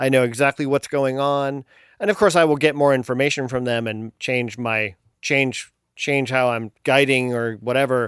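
A man with an American accent speaks at a moderate pace and medium pitch, using a plain, everyday voice with fairly even intonation on a very clean recording with a silent background. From northeastern Ohio, Hudson. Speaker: music producer. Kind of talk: casual interview.

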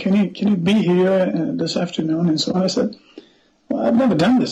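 The speaker rushes along at a very fast pace in a Portuguese accent. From Brazil (Brasilia). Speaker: conference interpreter. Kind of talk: interview.

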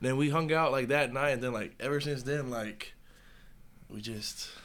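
In an American accent, a man speaks at a medium pitch with fairly even intonation. Audible echo fills the room. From North Carolina, Charlotte. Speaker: college football player. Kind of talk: casual interview.

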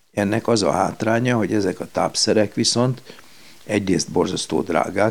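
A man's voice sits fairly low in pitch, moving at a moderate pace with ordinary pitch variation. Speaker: paediatrician. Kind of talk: interview. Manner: hesitant, with fillers.

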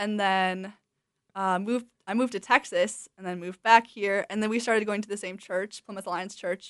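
A woman with a plain, everyday voice talks at a fairly quick pace in a medium pitch, with fairly even intonation. The sound is dry and close with no echo, over a quiet background. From Wisconsin. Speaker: college soccer player. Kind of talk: casual interview.

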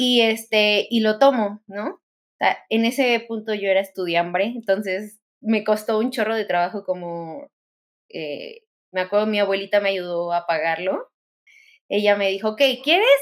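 Speaking at a fairly slow pace, a woman uses a plain, everyday voice with a fairly high pitch and ordinary pitch variation. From Mexico. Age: 20s. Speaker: tattoo artist. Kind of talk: interview.

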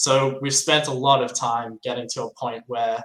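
Speaking with an Australian accent, a man of medium pitch moves at a fairly quick pace in a monotone, flat intonation. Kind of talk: casual interview chat. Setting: video call.

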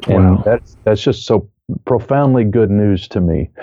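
A man's unremarkable speaking voice, fairly low in pitch, at a moderate pace. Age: 40s. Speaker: pastor. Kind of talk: casual interview about a Bible verse.

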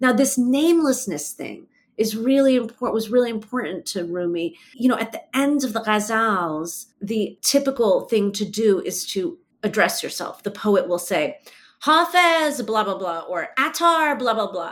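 A woman with a slight New Jersey accent speaks at a fairly high pitch, her voice swinging very widely up and down. The recording is very clean, with a silent background. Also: moderate pace. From US, New Jersey. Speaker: poet and translator. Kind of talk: interview conversation.

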